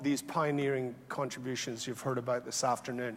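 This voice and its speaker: A man at a fairly high pitch with a slight Scottish accent. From Scotland. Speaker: health economist, awards ceremony host. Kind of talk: conference closing remarks. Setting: conference hall with audience. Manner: conversational, many fillers.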